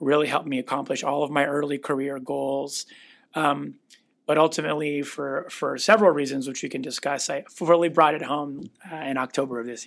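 In a plain, everyday voice with an American accent, the speaker goes at a fairly quick pace with fairly even intonation and big swings in loudness, on a very clean recording with a silent background. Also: man, fairly high pitch for a man. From US Pacific Northwest (Renton, Washington). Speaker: cardiologist. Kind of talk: casual interview.

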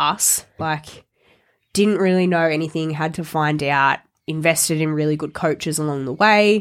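Speaking at a moderate pace in an Australian accent, a woman uses ordinary pitch variation. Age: 20s. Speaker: fitness coach. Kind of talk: casual chat. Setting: studio.

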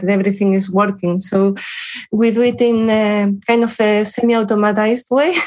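A woman with a Spanish accent talks fairly quickly at a fairly high pitch, her intonation fairly even. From Spain, Salamanca. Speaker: cancer researcher. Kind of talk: interview. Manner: halting, with fillers.

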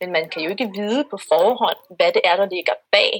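Dry and close with no echo, the recording captures a woman. She talks at a fairly slow pace. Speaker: researcher in religious studies. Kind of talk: interview. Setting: video call. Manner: halting.

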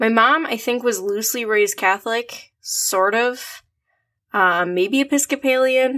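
Fairly slowly and with ordinary pitch variation, a woman speaks in an Upper Midwest accent, her tone bright and sharp. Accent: Upper Midwest American. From US Midwest, Minnesota (Twin Cities suburbs). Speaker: podcast co-host. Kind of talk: casual chat. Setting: remote call.

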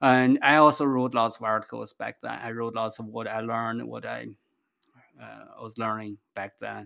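Over a silent background in a very clean recording, a man with a Chinese accent talks at a fairly slow pace. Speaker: investor and business founder. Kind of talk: interview. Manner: halting.

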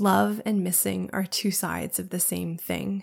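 A woman speaks at a medium pitch with fairly even intonation, vocal fry and a slightly husky edge. The recording is very clean, with a silent background. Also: fairly slow pace.

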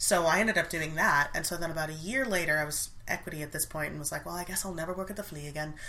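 Talking at a very fast pace with hardly any pauses, a woman with a fairly low pitch and ordinary pitch variation is heard over noticeable background noise. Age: 30s. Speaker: actress and dialect coach. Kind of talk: casual chat.

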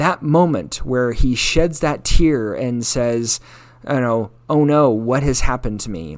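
Delivered at a fairly slow pace, this is an ordinary speaking voice. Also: man. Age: 40s. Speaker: solo podcaster. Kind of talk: personal monologue. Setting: home kitchen with dog in background.

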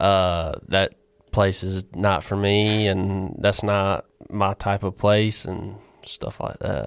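On a very clean recording with a silent background, a man with a Southern US accent speaks very slowly in a fairly low pitch with monotone, flat intonation. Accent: Southern US (Georgia). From Georgia, US South. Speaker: former student athlete, baseball catcher. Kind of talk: interview.

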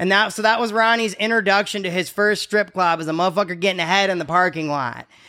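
In a raised, projected voice, a man with a high pitch and bright, sharp tone talks very fast with hardly any pauses and ordinary pitch variation. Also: very clean recording, silent background. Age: 40s. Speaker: comedian and podcast host, military veteran. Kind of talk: casual comedic chat. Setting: strip club venue.

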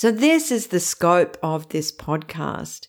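A woman talks with an Australian accent. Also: very clean recording, silent background. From Australia (Sydney). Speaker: podcast host, financial therapist. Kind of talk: solo podcast monologue.

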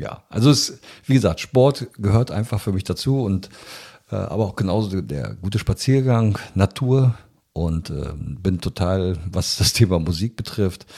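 Lively intonation in a dark, mellow tone. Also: man, fairly low pitch for a man. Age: 60s. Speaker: biologist and business executive. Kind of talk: interview.

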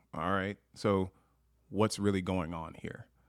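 Speaking in a monotone, flat way, a man uses a fairly low pitch. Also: very clean recording, silent background. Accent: American. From Long Beach, California; Montana since 2001. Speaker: racial awareness activist. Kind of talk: casual chat.

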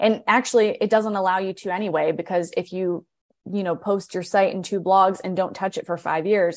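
A woman with an American accent talks at a fairly quick pace and a medium pitch. The background is quiet. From US Midwest (Akron, Ohio). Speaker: content agency founder and CEO. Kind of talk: casual interview. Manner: animated.

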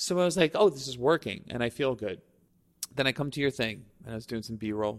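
A man with an unremarkable speaking voice at medium pitch, at a fairly quick pace, in a very clean recording with a silent background. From Staten Island, New York. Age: 40s. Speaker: videographer. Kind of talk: casual chat. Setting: studio.

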